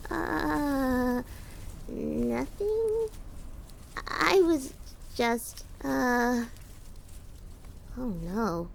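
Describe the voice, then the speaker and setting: Over clear background noise, a female-sounding put-on character voice moves at a very slow pace with long, frequent pauses. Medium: audio drama. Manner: stuttering, hesitant.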